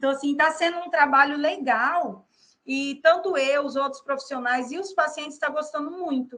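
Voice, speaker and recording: Projecting her voice, a woman speaks at a high pitch with ordinary pitch variation. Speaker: psychologist. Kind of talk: interview.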